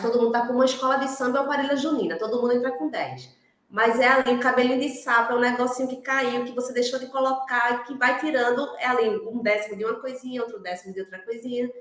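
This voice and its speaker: A woman talks at a very fast pace in a high pitch. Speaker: workshop facilitator. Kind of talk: workshop moderation. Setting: online video meeting.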